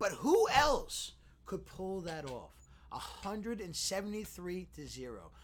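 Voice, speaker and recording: A man's very slow speech with big swings in loudness and audible room echo. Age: 30s. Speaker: podcast co-host. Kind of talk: casual chat.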